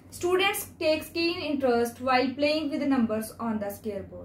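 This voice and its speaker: A woman talks at a moderate pace with a high pitch. Light background noise and audible room echo are present. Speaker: school math teacher. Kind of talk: presentation to a jury. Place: home room. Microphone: phone near.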